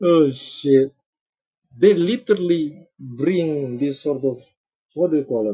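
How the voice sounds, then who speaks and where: A man with a non-native accent speaks in a fairly high pitch, his tone dark and mellow. The voice is somewhat breathy, with ordinary pitch variation. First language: not English. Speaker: streamer reacting to videos. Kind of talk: casual live-stream commentary. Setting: live stream. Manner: halting, searching for words.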